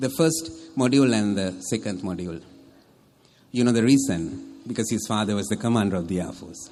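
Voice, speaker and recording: A confident man's fairly low voice at a fairly quick pace, lively in intonation, with music in the background. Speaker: military officer and public speaker. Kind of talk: wedding toast speech. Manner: humorous, confident, well-paced stage delivery.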